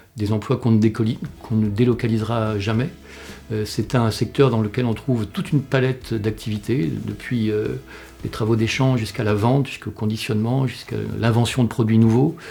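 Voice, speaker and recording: A man's medium-pitched voice, fairly quick and fairly even in intonation, over music in the background. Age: 60s. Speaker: employment researcher and director. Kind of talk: interview. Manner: halting, many fillers.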